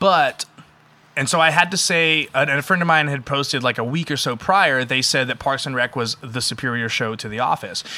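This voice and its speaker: A fairly high-pitched man with a bright, sharp tone, at a moderate pace with ordinary pitch variation. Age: 30s. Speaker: metal band musician. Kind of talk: casual chat. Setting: in-person studio recording.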